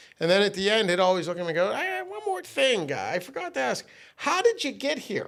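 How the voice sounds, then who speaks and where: A man speaks at a very fast pace in an animated tone. Noticeable background noise runs behind him. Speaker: sales trainer. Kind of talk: casual chat. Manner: loud.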